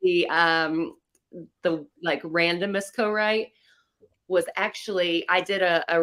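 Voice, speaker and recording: In a Southern US accent, a woman speaks slowly with a fairly low pitch and monotone, flat intonation. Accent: Southern American. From North Carolina. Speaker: country singer-songwriter. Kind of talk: interview answer.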